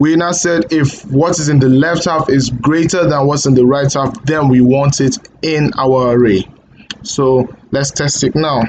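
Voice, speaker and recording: A man speaks fairly slowly in a fairly high pitch with ordinary pitch variation. His loudness is very even, and there is noticeable background noise. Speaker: coding tutorial creator. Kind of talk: tutorial. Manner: halting, stuttering; hesitant with fillers.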